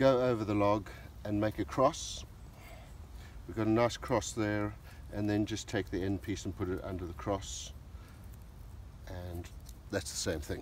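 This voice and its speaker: A man's fairly low, somewhat breathy voice at a moderate pace, with ordinary pitch variation, long and frequent pauses, a dry sound with no echo, and light background noise. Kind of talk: tutorial. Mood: friendly, relaxed. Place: forest. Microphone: phone near.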